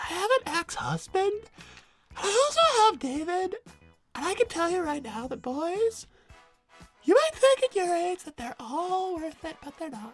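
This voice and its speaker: In a squeaky, put-on character voice at an extremely high pitch, a woman swings her pitch very widely and her loudness sharply, pausing long and often over faint background music. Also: moderate pace. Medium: game stream. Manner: haughty, confrontational.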